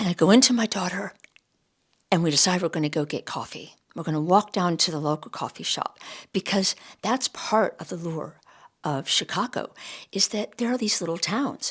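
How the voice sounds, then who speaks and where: She has a normal speaking voice at a medium pitch. The woman talks at a moderate pace with ordinary pitch variation. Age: 60s. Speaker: astrology and self-discovery vlogger. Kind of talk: personal storytelling monologue.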